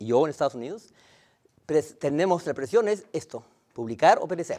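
A man speaks with very wide pitch swings against a quiet background. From Latin America. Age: 60s. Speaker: chemistry professor; visiting chemistry professor. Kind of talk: lecture. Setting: lecture hall with audience. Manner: fast; halting, many repetitions. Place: hall. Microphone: lapel.

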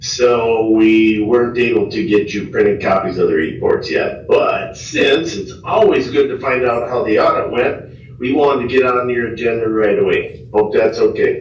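A man talks at a moderate pace with hardly any pauses. The recording has audible room echo and noticeable background noise. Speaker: auditor presenting audit results. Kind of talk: presentation to city council. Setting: city council meeting room. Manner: animated.

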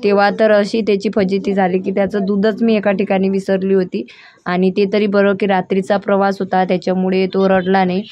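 A woman speaks at medium pitch with monotone, flat intonation. Her loudness stays very even throughout. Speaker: family vlogger. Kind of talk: vlog narration.

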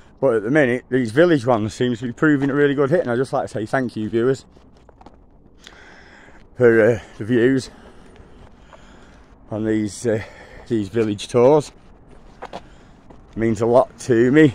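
The sound is dry with no echo as a man speaks at a moderate pace with ordinary pitch variation and long, frequent pauses. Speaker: walking vlogger. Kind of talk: casual vlog chat. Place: street. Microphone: phone near.

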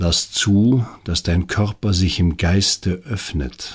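In a very clean recording with a silent background, a man speaks at a very slow pace. His voice is very deep and low, somewhat breathy, with a calm, soothing tone. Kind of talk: guided meditation. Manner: slow, calm, soothing, gently paced with long pauses; soft-spoken, intimate, addressing the listener directly as 'du'.

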